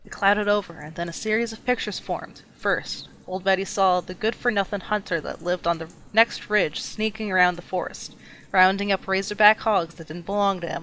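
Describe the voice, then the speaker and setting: Speaking at a fairly quick pace, a woman uses a normal speaking voice at a medium pitch with fairly even intonation. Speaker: storyteller. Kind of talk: scary campfire story narration.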